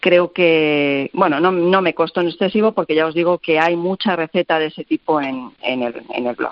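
A woman talks in a normal speaking voice at a moderate pace, her fairly low pitch carrying ordinary pitch variation with hardly any pauses. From Castilla-La Mancha, Spain. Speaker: recipe website creator, cook. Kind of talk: radio interview.

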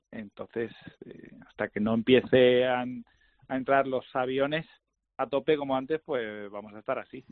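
Speaking at a moderate pace and medium pitch, a man keeps his intonation fairly even. His loudness swings widely, broken by long, frequent pauses. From Andalusia. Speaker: golf industry guest. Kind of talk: casual interview. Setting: phone call.

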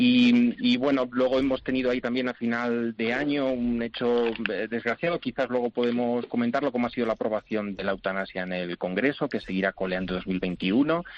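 This man has an unremarkable speaking voice at medium pitch, with ordinary pitch variation, talking at a fairly quick pace with hardly any pauses. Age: young. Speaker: commentator. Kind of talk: panel discussion.

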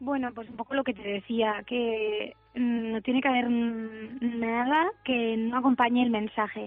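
Over music in the background, a woman with a fairly high pitch speaks fairly slowly in a flat monotone, with hardly any pauses and big swings in loudness. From Spain, Alicante. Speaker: singer. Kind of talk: interview.

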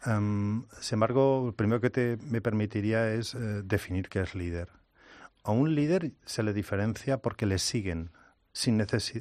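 A man speaks with a Spanish accent at a fairly slow pace. His pitch is fairly low with ordinary variation, and the background is quiet. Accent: Spanish (Spain). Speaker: innovation consultant and speaker. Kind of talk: interview.

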